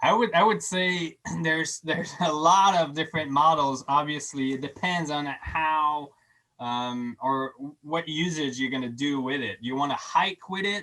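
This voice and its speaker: The pace of the speech is moderate. The words carry a French accent. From Quebec. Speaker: scientist. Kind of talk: lecture with Q&A. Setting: online video program. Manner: halting, many restarts.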